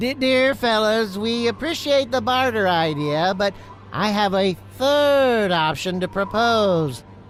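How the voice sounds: A cartoonish character voice, fairly high in pitch, moves at a fairly slow pace. Clear background noise runs behind it.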